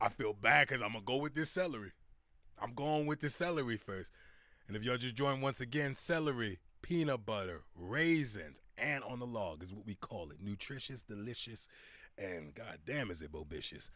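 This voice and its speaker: In a very clean recording with a silent background, a man with an American accent talks at a moderate pace and medium pitch, his bright, sharp, animated tone carrying vocal fry, very wide pitch swings and big swings in loudness. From US, Philadelphia. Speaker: YouTuber learning Finnish. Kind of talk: live stream chat. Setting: live stream.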